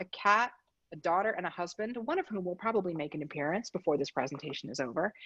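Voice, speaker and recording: A woman with an American accent, very fast, bright and sharp in tone, with very wide pitch swings. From Philadelphia, Pennsylvania. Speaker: design practice lead, presenter. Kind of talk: presentation. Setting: video call from home.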